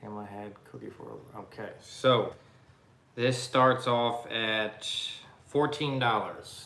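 Audible room echo surrounds a man speaking. He goes at a very slow pace with fairly even intonation. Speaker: co-host of live vintage sale. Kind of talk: live-stream sale chat. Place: home room. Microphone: webcam.

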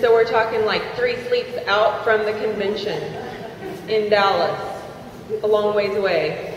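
A woman's fairly high voice, monotone and flat at a very slow pace, with audible room echo and light background noise. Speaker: network marketing distributor. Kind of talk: testimony. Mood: earnest, heartfelt. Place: hall.

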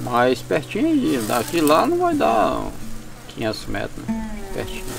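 The sound is dry, with no echo, as a man speaks at a fairly slow pace. Music plays clearly in the background. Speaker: riverside fisherman. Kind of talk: interview answer. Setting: outdoors. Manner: slow, measured. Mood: calm, unhurried storytelling. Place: forest.

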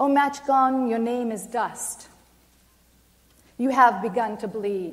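A woman speaks with an American accent at a fairly high pitch. She goes at a very slow pace with ordinary pitch variation. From Maine, US. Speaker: poet. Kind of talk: poetry reading. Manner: halting. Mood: solemn, impassioned. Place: hall.

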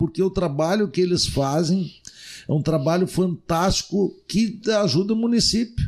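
Against a quiet background, a man speaks at a fairly slow pace with a high pitch, ordinary pitch variation and very even loudness. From Rio Grande do Sul, Brazil. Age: 50s. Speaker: city councillor. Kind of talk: casual interview. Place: studio. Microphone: studio mic.

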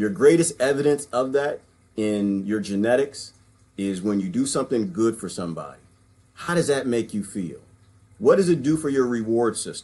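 A man's dark, mellow tone with lively intonation. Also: moderate pace. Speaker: vlogger or discussion speaker. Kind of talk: casual commentary. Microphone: webcam.

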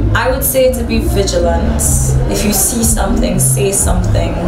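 Music plays in the background. A woman speaks over it at a fairly slow pace. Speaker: interviewee. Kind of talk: interview answer. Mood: calm, earnest advice. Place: home room.

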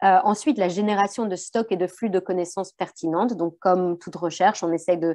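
In a dark, mellow tone, a woman talks at a moderate pace with ordinary pitch variation, the sound dry with no echo and the background quiet. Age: young. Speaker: researcher. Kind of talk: academic presentation. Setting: video call. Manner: hesitant, many fillers and repetitions. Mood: modest, slightly hesitant. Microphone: webcam.

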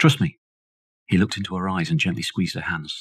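Very fast and somewhat breathy, a man's voice swings very widely in pitch, with a dry, close sound and no echo. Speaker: audiobook narrator. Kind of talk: audiobook reading of a horror novella, scripted narration. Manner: measured, storytelling pace, dramatic and suspenseful.

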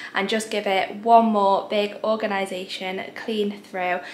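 Over light background noise, a woman talks at a moderate pace with fairly even intonation. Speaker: home cleaning vlogger. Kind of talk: casual vlog chat. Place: home room. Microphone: phone near.

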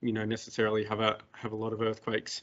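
Speaking very fast, a man delivers his words. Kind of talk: lecture.

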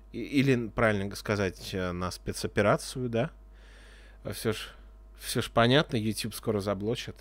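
Speaking fairly slowly with long, frequent pauses, a man uses a fairly low pitch with vocal fry and ordinary pitch variation, the sound dry with no echo. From Russia. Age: 30s. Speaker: video blogger. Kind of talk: casual monologue; casual vlog monologue. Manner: casual, hesitant. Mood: sarcastic, frustrated. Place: home room. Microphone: studio mic.

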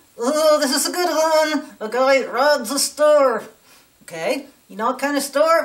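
In a cartoonish character voice with a high pitch, a woman speaks at a moderate pace. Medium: puppet. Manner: ranting, indignant.

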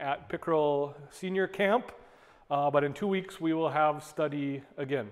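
The setting is quiet behind him. This man keeps a moderate pace, and his pitch varies in an ordinary way. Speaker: bible study teacher. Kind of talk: lecture. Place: church.

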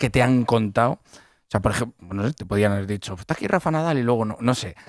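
A man speaks with a Castilian accent against a quiet background, the sound dry with no echo. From Castile, Spain. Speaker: radio host. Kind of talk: casual radio chat. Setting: radio studio. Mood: playful, joking. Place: studio. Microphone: studio mic.

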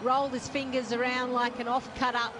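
Over noticeable background noise, a woman talks at a fairly quick pace. Her high voice stays monotone and flat. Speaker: cricket commentator. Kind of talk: live commentary.

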